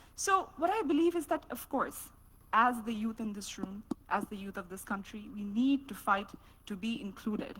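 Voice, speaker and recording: Her fairly high voice has lively intonation and big swings in loudness as the woman speaks at a moderate pace. Noticeable background noise runs underneath. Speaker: student panelist. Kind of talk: panel discussion.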